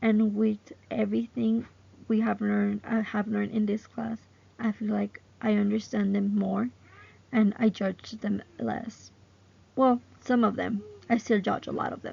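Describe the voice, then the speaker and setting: This woman has a strong Mexican accent. She speaks at a fairly slow pace. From Mexico. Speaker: student. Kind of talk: class presentation. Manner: some halting and self-repairs.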